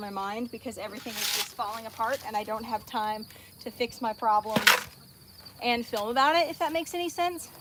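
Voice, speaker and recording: A woman's high-pitched voice against noticeable background noise. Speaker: farmer and social media creator. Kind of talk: casual livestream chat. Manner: fast.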